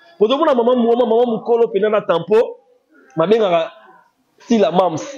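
A man with a high pitch and a slightly mellow tone speaks at a moderate pace.

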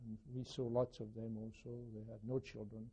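A man speaks in a dark, mellow, somewhat breathy tone at a medium pitch and moderate pace, with fairly even intonation. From France, Paris. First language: French. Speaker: Holocaust survivor. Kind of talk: testimony. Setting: recorded interview with microphone. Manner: halting.

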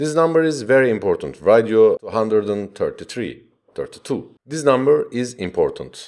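A man with a non-native accent talks at a very slow pace over a quiet background. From Turkey. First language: Turkish. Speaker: web development tutorial maker. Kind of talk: screencast tutorial. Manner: halting with many fillers. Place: home room.

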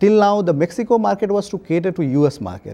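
Fairly quick and lively in intonation, a man with an Indian accent speaks in a high pitch with a dark, mellow tone. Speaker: bank official. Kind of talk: interview. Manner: halting, many fillers. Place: home room. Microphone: lapel.

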